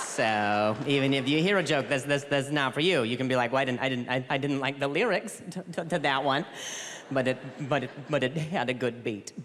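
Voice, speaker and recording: A man with an American accent speaks at a fairly quick pace and fairly high pitch. His pitch varies in an ordinary way, and there is noticeable background noise. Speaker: comedian. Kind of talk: stand-up. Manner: stuttering, repeated words.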